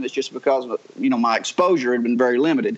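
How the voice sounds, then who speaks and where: A man speaks with a strong Southern US accent. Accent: strong Southern US drawl. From North Georgia mountains, US South. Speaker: reality TV personality. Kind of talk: casual interview chat. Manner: easygoing, charming, storytelling.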